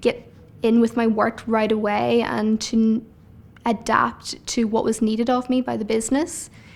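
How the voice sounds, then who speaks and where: A woman speaks with a Northern Irish accent at a fairly slow pace. Her pitch is fairly high and her intonation fairly even. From Northern Ireland. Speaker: paralegal. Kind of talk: interview monologue.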